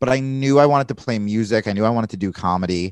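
A man's ordinary speaking voice at a fairly low pitch, with lively intonation and a moderate pace, dry and close with no echo against a quiet background. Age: 30s. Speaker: comedian and podcast host. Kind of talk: casual interview conversation.

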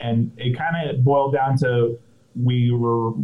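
Somewhat breathy and medium in pitch, a man with an American accent speaks in a monotone, flat way. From Orange County, California. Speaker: brewery co-founder. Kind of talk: casual interview. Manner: halting, many fillers.

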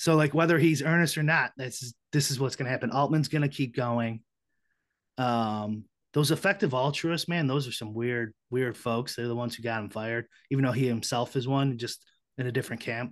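Against a quiet background, a man with an American accent and a normal speaking voice talks at a fairly quick pace, medium in pitch with ordinary pitch variation. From Chicago, US Midwest. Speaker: podcast guest. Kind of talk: casual chat.

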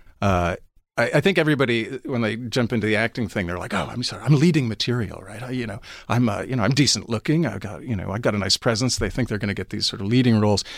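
Very fast speech in an American accent with ordinary pitch variation, recorded very cleanly against a silent background. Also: man, medium pitch for a man. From New York City, Manhattan. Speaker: audiobook narrator and actor. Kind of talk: casual interview. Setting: studio.

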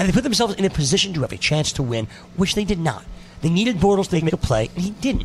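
Over noticeable background noise, a man talks very fast in a high voice with very wide pitch swings. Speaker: radio host. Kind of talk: sports radio banter. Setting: studio. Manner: quick, bantering, jokey.

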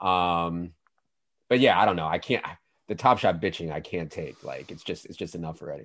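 A man with an American accent and a very deep, low pitch, at a fairly quick pace with ordinary pitch variation and big swings in loudness, in a very clean recording with a silent background. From Virginia. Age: 30s. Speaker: fantasy sports analyst. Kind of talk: casual chat.

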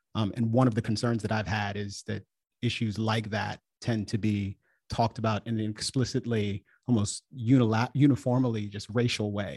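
Somewhat breathy and fairly low, a man's voice comes with an American accent and monotone, flat intonation. He talks at a moderate pace, the sound dry and close with no echo over a quiet background. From Washington DC, Jamaican family. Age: 40s. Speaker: podcaster, political commentator. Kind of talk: radio interview, debate.

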